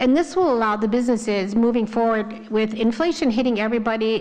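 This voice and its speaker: A woman at a fairly high pitch and a very fast pace, over noticeable background noise. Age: 60s. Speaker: village trustee. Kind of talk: public board meeting report. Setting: village board meeting.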